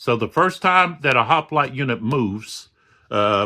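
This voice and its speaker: A loud man speaks at a medium pitch and a fairly slow pace, in a bright, sharp tone. The recording is very clean, with a silent background. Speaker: board wargame youtuber. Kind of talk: game playthrough tutorial. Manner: halting, many fillers.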